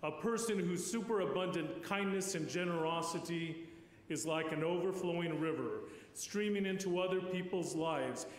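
With audible room echo, a man speaks at a moderate pace in a high pitch, his loudness very even and his intonation fairly even. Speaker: priest giving eulogy. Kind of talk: eulogy. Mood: solemn, warm. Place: church. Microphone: podium.

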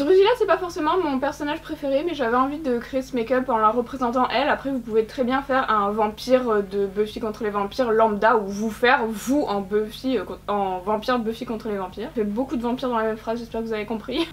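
With light background noise, a woman rushes along at a very fast pace with hardly any pauses and ordinary pitch variation. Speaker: makeup content creator. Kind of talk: casual vlog chat. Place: home room.

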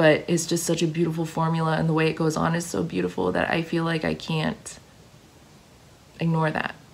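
Speaking at a fairly quick pace, a woman uses a low pitch with ordinary pitch variation and vocal fry.

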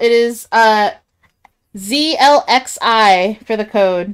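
This woman has a fairly high pitch and an American accent. Her intonation is lively. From Kansas. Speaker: gaming streamer. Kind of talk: casual chat. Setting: live stream with voice chat. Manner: animated.

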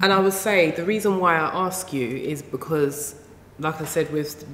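A woman with a very deep, low pitch at a fairly slow pace, amid audible room echo and light background noise. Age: 40s. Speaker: relationship counsellor; guest. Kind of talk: casual chat. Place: studio.

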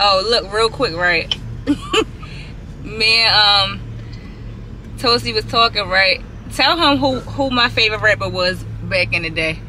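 A woman talks at a fairly slow pace with long, frequent pauses and very even loudness, the sound dry with no echo over light background noise. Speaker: vlogger on a phone call. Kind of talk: casual phone chat. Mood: laughing, playful. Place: car. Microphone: camera far.

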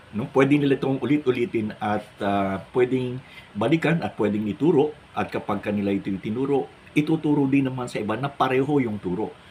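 Noticeable background noise runs under a man talking at a medium pitch and fairly quick pace. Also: ordinary pitch variation. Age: 60s. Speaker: pastor. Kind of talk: religious monologue vlog.

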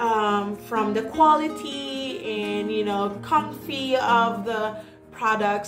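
A woman speaks with clear music in the background. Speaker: product reviewer. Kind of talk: casual product review vlog. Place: home room. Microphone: phone near.

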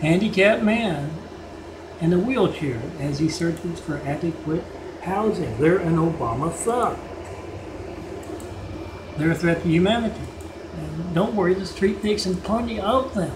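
Over noticeable background noise, a high-voiced man speaks at a moderate pace with long, frequent pauses. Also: lively intonation. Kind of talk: rant-style video commentary narrating a fictional series.

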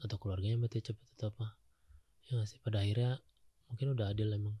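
A soft-spoken, somewhat breathy man with a fairly low pitch and a dark, mellow tone, in a dry sound with no echo and a quiet background. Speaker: comedian and host; comedian, host. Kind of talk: casual chat. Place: studio. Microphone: studio mic.

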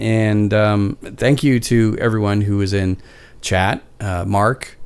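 Using a fairly low pitch, a man with a Canadian accent speaks at a very slow pace. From Canada. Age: 40s. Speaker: podcast host. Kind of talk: casual chat. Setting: live stream. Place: home room. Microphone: studio mic.

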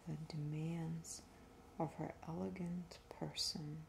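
A soft-spoken woman talks at a very slow pace over light background noise. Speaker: reader. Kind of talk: reading aloud from a book. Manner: soft-spoken, hushed ASMR reading voice. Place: home room. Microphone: phone near.

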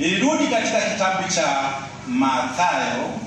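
A man talks at a very slow pace amid noticeable background noise and strong room echo. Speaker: preacher. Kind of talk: sermon. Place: church.

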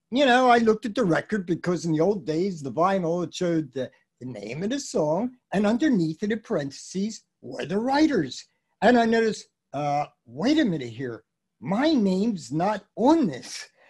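Over a quiet background, a man speaks at a moderate pace with an American accent. His pitch is high and swings very widely. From US Northeast, Philadelphia. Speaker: music business consultant and educator. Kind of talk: casual chat. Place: home room.

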